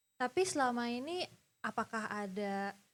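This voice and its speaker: A woman's fairly high voice with a non-native accent at a very slow pace, on a very clean recording with a silent background. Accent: non-native Indonesian. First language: English (speaking Indonesian). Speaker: event host. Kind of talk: interview.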